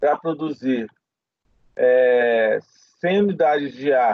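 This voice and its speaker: A man's fairly high-pitched voice. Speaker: professor. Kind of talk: lecture.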